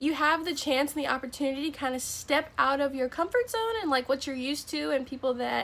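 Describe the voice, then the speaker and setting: A woman with an American accent speaks in a high voice. Her pace is fairly quick and her intonation fairly even. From Florida. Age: young. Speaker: college student. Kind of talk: casual talk to camera.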